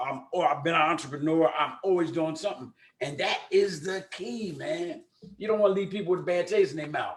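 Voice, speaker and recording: A man's high, animated voice in a Philadelphia accent at a fairly quick pace. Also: ordinary pitch variation. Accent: Philadelphia American English. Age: 70s. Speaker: talk show host. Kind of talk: interview.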